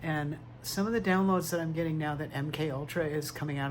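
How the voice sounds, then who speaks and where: Audible room echo surrounds a man as he speaks. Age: 60s. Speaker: tarot reader vlogger. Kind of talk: personal testimony monologue. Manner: quiet, struggling to project.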